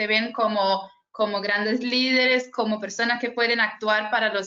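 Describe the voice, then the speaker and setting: A fairly high-pitched woman's voice with a Brazilian accent, flat and monotone, at a fairly slow pace. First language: Portuguese (speaking Spanish). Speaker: youth climate network coordinator, webinar moderator. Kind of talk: webinar moderation. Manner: halting, many fillers.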